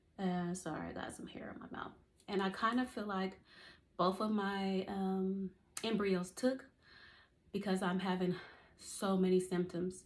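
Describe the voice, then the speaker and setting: At a fairly slow pace with long, frequent pauses, a woman speaks in a somewhat breathy, medium-pitched voice with fairly even intonation and big swings in loudness. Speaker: vlogger sharing IVF journey. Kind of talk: casual video diary.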